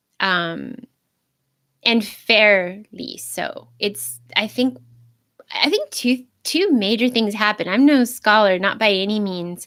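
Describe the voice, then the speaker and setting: A woman speaks at a very slow pace. Her pitch is fairly high, with ordinary variation. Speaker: video blogger on Christianity. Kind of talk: unscripted livestream monologue. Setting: live stream. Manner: halting, self-correcting.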